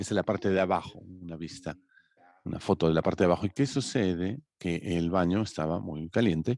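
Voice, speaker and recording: A man's very deep, low voice moves with ordinary pitch variation. The recording is very clean with a silent background and a dry, close sound with no echo. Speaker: workshop presenter on healthy housing. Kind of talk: educational workshop presentation.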